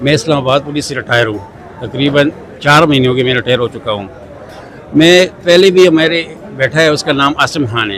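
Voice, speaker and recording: The pace is moderate and the pitch variation ordinary. Noticeable background noise sits behind the voice. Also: man, fairly high pitch for a man. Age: 60s. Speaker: retired police constable. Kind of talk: interview testimony.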